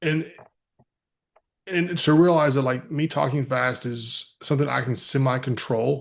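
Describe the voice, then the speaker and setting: Speaking with a West Texas accent, a man keeps a moderate pace. His pitch varies in an ordinary way. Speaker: mental health speaker. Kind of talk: podcast interview.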